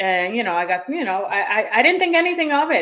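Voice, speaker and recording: Speaking with an American accent, a woman uses a high-pitched voice. Her pace is fairly quick. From New York. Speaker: tennis channel co-host. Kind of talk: casual chat.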